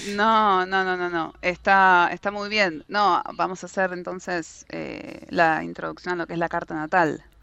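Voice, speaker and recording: A woman's bright, sharp voice, fairly low in pitch, at a fairly slow pace. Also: ordinary pitch variation, hardly any pauses, quiet background. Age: 20s. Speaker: astrology enthusiast. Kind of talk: casual chat.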